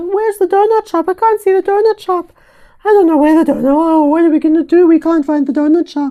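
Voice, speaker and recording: A woman's squeaky, put-on character voice, extremely high-pitched and very fast, with ordinary pitch variation. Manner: overly dramatic, panicked.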